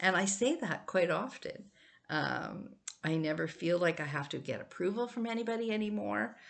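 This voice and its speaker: Her voice has a medium pitch and lively intonation, with some vocal fry. The woman talks at a moderate pace. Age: 70s. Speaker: vlogger. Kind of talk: reflective monologue. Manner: casual, hesitant with fillers.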